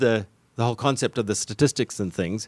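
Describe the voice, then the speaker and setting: Lively intonation and a fairly quick pace mark this man's speech in a South African accent, with a dry, close sound and no echo. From South Africa, Cape Town. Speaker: tech company founder and civil engineer. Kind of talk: business radio interview. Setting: studio.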